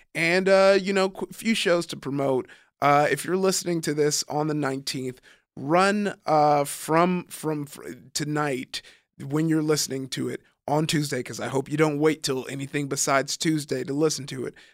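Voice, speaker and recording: In a Southern Californian accent, a man speaks at a moderate pace and a fairly high pitch with ordinary variation, on a very clean recording with a silent background. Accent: Southern California American. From US West Coast, Compton and Long Beach, California. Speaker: stand-up comedian. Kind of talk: casual chat.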